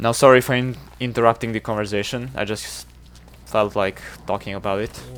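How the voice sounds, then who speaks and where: This man speaks at a fairly quick pace with a Serbian accent, his pitch fairly low with ordinary variation. He leaves long, frequent pauses. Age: 20s. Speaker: video game streamer. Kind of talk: casual live-stream chat.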